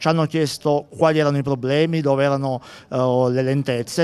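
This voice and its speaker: A man talks at a fairly quick pace in an ordinary speaking voice. His pitch sits fairly high, and his intonation stays fairly even. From Abruzzo, Italy. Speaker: town mayor. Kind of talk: live TV interview. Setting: outdoors at sporting event. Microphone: handheld.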